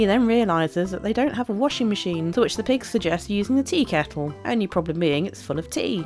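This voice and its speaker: With music in the background, a woman with a British accent and medium pitch talks at a very fast pace with very wide pitch swings. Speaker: YouTube video essayist. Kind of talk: casual commentary narration.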